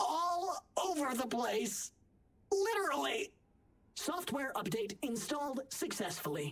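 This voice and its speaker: Put-on character voice, female-sounding, at a high pitch and fairly slow pace, with very wide pitch swings. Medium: video game. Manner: wry, conversational.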